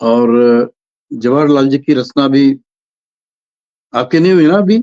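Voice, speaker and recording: A man speaks with a fairly high pitch and a dark, mellow tone. The sound is dry and close with no echo, and the loudness stays very even. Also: ordinary pitch variation. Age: 70s. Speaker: poetry gathering moderator. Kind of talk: online poetry meeting moderation.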